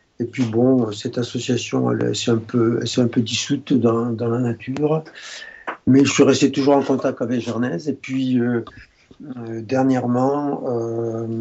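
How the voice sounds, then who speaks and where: Through noticeable background noise, a man talks at a fairly slow pace. His medium-pitched voice has monotone, flat intonation. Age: 70s. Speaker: retired doctor. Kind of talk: interview. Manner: halting.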